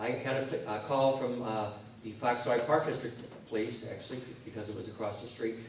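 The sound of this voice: A man at a medium pitch and fairly quick pace, with ordinary pitch variation and strong room echo.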